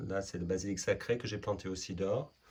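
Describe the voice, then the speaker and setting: Speaking at a moderate pace, a man with a fairly low pitch and a non-native accent sounds somewhat breathy, with ordinary pitch variation. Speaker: permaculture gardener and artist. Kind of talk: casual talk to camera.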